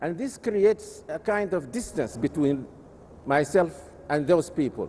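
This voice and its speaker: Here a man with a high pitch and a dark, mellow tone speaks at a fairly slow pace. His intonation is lively. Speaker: Islamic scholar. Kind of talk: lecture. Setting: conference session. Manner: measured, with frequent hesitations.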